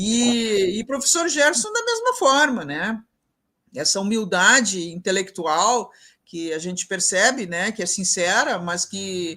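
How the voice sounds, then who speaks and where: At a fairly slow pace, a woman speaks with a bright, sharp tone at medium pitch. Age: 60s. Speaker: professor and event mediator. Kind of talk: closing remarks in a live online panel. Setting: live broadcast event.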